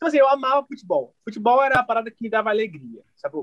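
The man's voice sounds close and dry, without any echo. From Rio de Janeiro, Realengo. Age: 30s. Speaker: singer. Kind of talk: casual interview.

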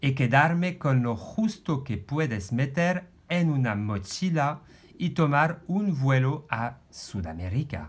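A man with a French accent speaks very slowly at a fairly high pitch, his voice somewhat breathy. His intonation is lively against a quiet background. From France. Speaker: podcast host, life coach. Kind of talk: personal storytelling.

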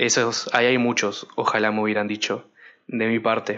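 The man's intonation is fairly even. He talks fairly quickly in a medium pitch. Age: 20s. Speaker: podcast host. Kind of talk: personal monologue. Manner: hesitant, many fillers.

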